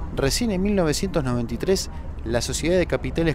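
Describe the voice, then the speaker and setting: A man's voice over noticeable background noise. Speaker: documentary narrator. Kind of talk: scripted narration.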